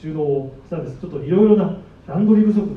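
Audible room echo carries a man's voice with lively intonation. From Japan, Sendai (Miyagi). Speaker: supermarket produce manager. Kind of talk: presentation talk. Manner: formal; many fillers.

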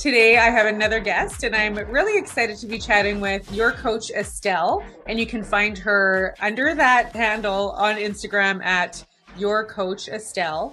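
Bright and sharp in tone, a woman with a Canadian accent speaks at a fairly high pitch and moderate pace with ordinary pitch variation. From Canada, Winnipeg. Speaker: public speaking coach, podcast host. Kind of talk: interview.

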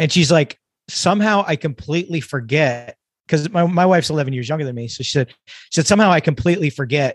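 A man's fairly high, somewhat breathy voice at a very fast pace with ordinary pitch variation. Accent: American. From California. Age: 50s. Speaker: emergency physician and author. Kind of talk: casual chat.

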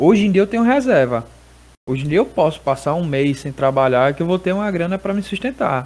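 Moving rather quickly, a man speaks with pitch that swings very widely. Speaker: barber. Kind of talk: casual chat. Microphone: feedback echo on his audio.

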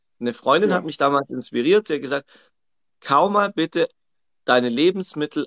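A man's fairly high voice with lively intonation. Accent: Swabian. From Swabia, southern Germany. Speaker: coach. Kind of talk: casual chat. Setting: livestream on social media.

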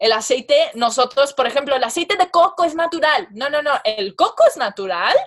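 A woman is talking. Her intonation rises and falls in a lively way. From Mexican and Persian family. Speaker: comedic actress and social media influencer. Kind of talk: casual interview. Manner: halting, repeats words.

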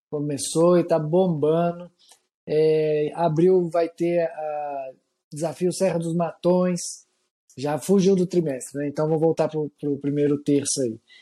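Fairly slow and dark, mellow in tone, the speech has fairly even intonation with long, frequent pauses. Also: man, fairly high pitch for a man. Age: 40s. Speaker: trail running magazine writer. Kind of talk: casual chat.

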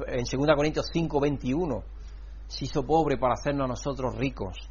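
A man's voice comes with audible room echo. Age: 60s. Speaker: pastor. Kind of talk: sermon. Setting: church.

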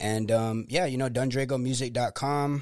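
A man with an American accent has an unremarkable speaking voice at a medium pitch. He talks at a moderate pace with fairly even intonation, in a very clean recording with a silent background. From Florida, Tampa Bay area (Clearwater). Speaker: rapper and songwriter. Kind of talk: casual chat.

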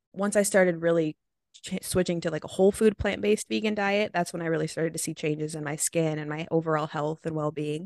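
Speaking very fast with an American accent, a woman uses a fairly low pitch with ordinary pitch variation. The sound is dry and close with no echo against a quiet background. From Oregon, US. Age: 20s. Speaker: vegan recipe creator. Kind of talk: interview. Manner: casual, filler-heavy.

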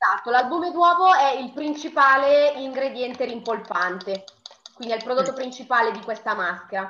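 Her loudness swinging widely, a woman speaks at a high pitch and a moderate pace with lively intonation. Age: 20s. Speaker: beauty enthusiast. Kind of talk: tutorial.

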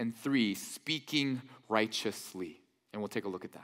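In a very clean recording with a silent background, a man speaks at a fairly slow pace in an animated tone with lively intonation. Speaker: pastor. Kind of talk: sermon. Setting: church.

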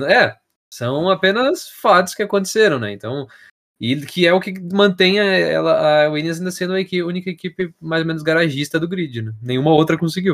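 A man talks with high pitch. His intonation is lively. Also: moderate pace. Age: 20s. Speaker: podcast host. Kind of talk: casual chat.

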